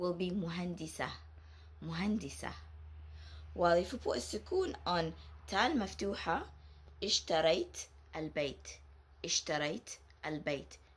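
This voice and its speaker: A woman speaks at a fairly slow pace with an Arabic accent. Her speech has long, frequent pauses. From Saudi Arabia. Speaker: Arabic teacher. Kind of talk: tutorial. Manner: slow, repeating words clearly.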